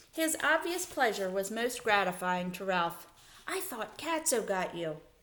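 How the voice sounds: It is a natural reading voice. The intonation is lively.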